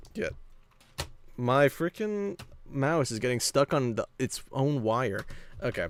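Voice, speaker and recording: Leaving long, frequent pauses, a man speaks with lively intonation at a fairly high pitch, in a dry, close sound with no echo. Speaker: Minecraft streamer. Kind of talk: casual livestream chat while gaming. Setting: livestream, in server voice chat. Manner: fast; scattered, loses train of thought.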